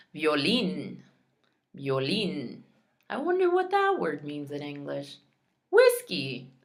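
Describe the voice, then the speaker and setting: With audible room echo, a woman talks at a very slow pace with long, frequent pauses. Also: big swings in loudness. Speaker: Spanish teacher. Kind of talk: tutorial. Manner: slow, repeating each word.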